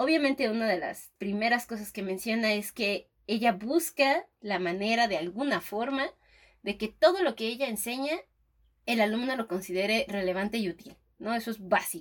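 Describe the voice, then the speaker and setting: A woman talks with an animated tone in a fairly high voice. Her pace is moderate and her pitch varies in an ordinary way. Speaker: podcast co-host, teacher. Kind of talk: casual chat.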